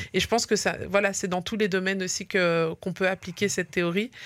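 A woman's plain, everyday voice at a medium pitch, moderate pace and fairly even intonation. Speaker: radio host. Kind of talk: radio interview.

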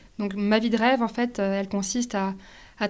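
A woman's dark, mellow voice sits at a medium pitch with monotone, flat intonation. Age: 20s. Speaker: sustainability entrepreneur. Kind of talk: interview. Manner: halting.

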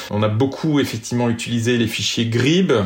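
Over noticeable background noise, a man speaks at a fairly slow pace and a medium pitch. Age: 40s. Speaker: sailor and app creator. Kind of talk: interview. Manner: halting.

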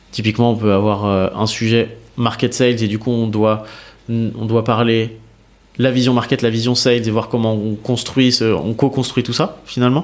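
An ordinary speaking voice, male and medium-pitched, moderately paced, intonation fairly even. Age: 30s. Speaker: revenue operations manager. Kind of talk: casual interview.

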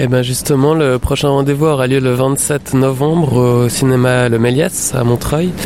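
Over noticeable background noise, a man speaks at a fairly slow pace and medium pitch, with fairly even intonation, very even loudness and hardly any pauses. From Switzerland. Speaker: art curator. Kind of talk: interview.

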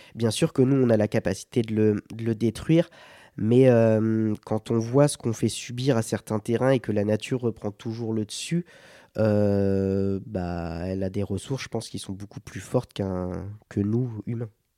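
A man's fairly low, dark, mellow voice with ordinary pitch variation, dry and close with no echo, on a very clean recording with a silent background. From Sarthe, western France. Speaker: adventurer and endurance athlete. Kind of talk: interview conversation. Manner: hesitant, many fillers.

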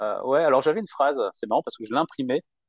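A man speaks at a very fast pace with lively intonation. The sound is dry and close, with no echo. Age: 40s. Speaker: job seeker who changed jobs. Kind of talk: interview.

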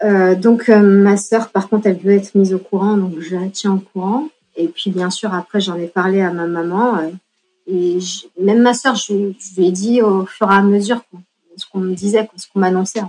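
A woman with a dark, mellow tone and medium pitch talks at a moderate pace, her intonation fairly even but her loudness swinging a lot. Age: 40s. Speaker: patient sharing her story. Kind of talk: testimony. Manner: halting, frequent repetitions and hesitations.

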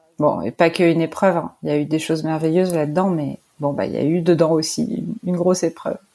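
Speaking at a very fast pace, a woman keeps a fairly low pitch and fairly even intonation. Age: 40s. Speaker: artist. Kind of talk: interview.

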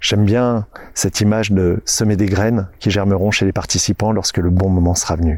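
A man speaks in a plain, everyday voice, fairly low in pitch, at a moderate pace. His loudness stays very even and his intonation fairly even. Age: 40s. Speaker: podcast host and nature guide. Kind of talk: scripted narration.

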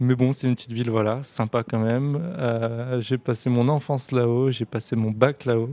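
At a moderate pace with hardly any pauses, a man speaks in a medium-pitched, dark, mellow voice with fairly even intonation. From France, Grand Est near German border. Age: 20s. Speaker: digital transformation manager. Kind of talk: interview. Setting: coworking space.

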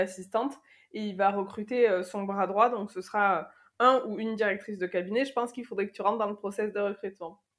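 A woman talks at a medium pitch, keeping her intonation fairly even. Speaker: corporate chief of staff. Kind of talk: interview. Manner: halting, many repetitions and fillers.

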